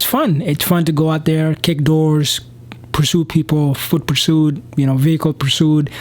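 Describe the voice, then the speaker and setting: Over noticeable background noise, a man with a non-native accent speaks in a fairly high pitch with monotone, flat intonation. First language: not English. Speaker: police officer and vlogger. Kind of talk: casual advice vlog. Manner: hesitant, many fillers.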